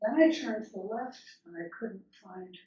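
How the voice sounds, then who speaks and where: Somewhat breathy and medium in pitch, a woman's voice carries lively intonation. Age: 70s. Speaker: minister. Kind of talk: sermon with personal storytelling.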